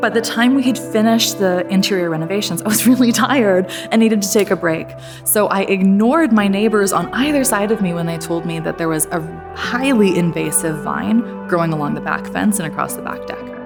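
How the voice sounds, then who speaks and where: A woman at a fairly quick pace, with music in the background. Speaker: motivational speaker. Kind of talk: motivational keynote talk.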